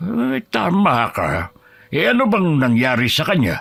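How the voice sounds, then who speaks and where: A man puts on a raspy character voice, fairly high-pitched and fairly slow. His pitch swings very widely. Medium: audio drama. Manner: calm, knowing, gently teasing.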